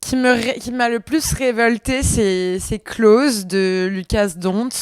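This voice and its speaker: A woman with a fairly high voice talks at a very slow pace. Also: dry, close sound with no echo. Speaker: podcast co-host. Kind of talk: casual chat.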